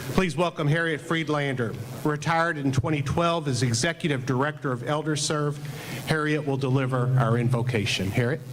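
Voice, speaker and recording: A man talks at a fairly quick pace with fairly even intonation. Background noise is noticeable. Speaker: club president, school head. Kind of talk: meeting emcee remarks. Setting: club meeting with audience. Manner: loud.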